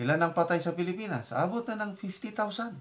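A man is speaking here. His pace is fairly slow. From Philippines, La Union (Ilocos region); La Union, Philippines. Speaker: retired officer turned vlogger and farmer; retired officer turned vlogger. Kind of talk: casual personal vlog talk. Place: kitchen. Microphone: phone near.

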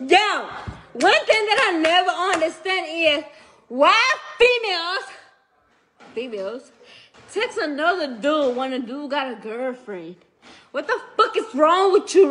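A woman speaks at an extremely high pitch with very wide pitch swings and a fairly slow pace. Long, frequent pauses break up her speech, and there is light background noise. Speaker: livestreamer. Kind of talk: casual livestream rant. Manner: drunk, slurred ranting. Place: home room. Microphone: phone near.

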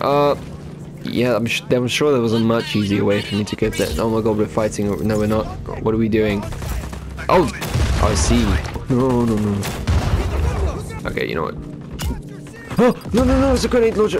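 Against noticeable background noise, a man with a fairly low pitch and lively intonation speaks with long, frequent pauses. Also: moderate pace. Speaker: gaming channel host. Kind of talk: gameplay commentary, casual talk over a video game. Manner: excited, flustered, reactive.

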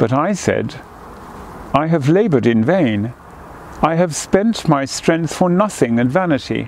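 A man speaks quietly at a fairly slow pace with a fairly high pitch, a solemn tone and lively intonation, the sound dry with no echo over light background noise. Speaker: cathedral dean leading prayers. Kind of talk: fervent prayer, intoning liturgy and blessing. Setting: outdoors in a garden. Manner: solemn, slow, reverent, hushed, measured cadence; formal. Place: garden.

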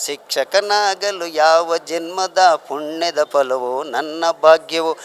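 The voice shows ordinary pitch variation in a dry, close sound with no echo. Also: man. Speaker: retiring school headmaster. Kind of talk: farewell speech.

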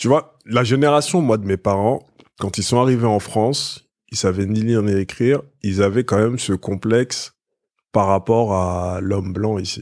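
At a fairly slow pace, a man with a plain, everyday voice and fairly low pitch speaks with ordinary pitch variation on a very clean recording with a silent background. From Paris suburbs, Essonne (Évry). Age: 30s. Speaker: media entrepreneur. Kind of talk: casual interview.

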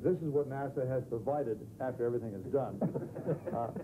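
Noticeable background noise fills the clip. A man talks over it. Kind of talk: humorous anecdote, interview answer. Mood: amused, joking storytelling. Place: office.

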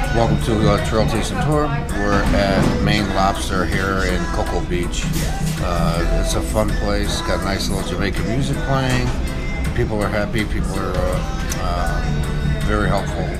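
Music sits in the background of the clip. The words unfold at a fairly slow pace. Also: man. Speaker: food vlogger. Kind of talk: casual vlog chat. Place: cafe.

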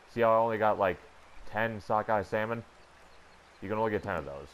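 A moderate pace against noticeable background noise. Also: man. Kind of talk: gaming tutorial voiceover. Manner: somber, low-energy.

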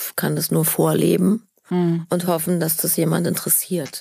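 A woman speaks at a moderate pace in a fairly low pitch with a dark, mellow tone. Her intonation is monotone and flat. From Berlin. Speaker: actress. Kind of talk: interview answer.

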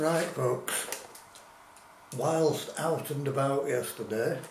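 A man at a very slow pace, with ordinary pitch variation, audible room echo and light background noise. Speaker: food reviewer. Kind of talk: casual vlog chat. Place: kitchen. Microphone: camera far.

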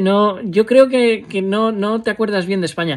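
A man's moderate pace comes through over a quiet background. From Spain. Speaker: vlogger. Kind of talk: personal vlog monologue. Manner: halting, many fillers. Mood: reflective, somber at times. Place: home room. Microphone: phone near.

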